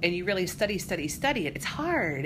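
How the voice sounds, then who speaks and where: Audible room echo is present. A woman talks with an American accent. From Colorado. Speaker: high school English teacher. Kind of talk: casual interview. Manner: animated.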